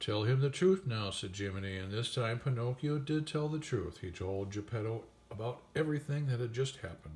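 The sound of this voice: Just an unforced reading voice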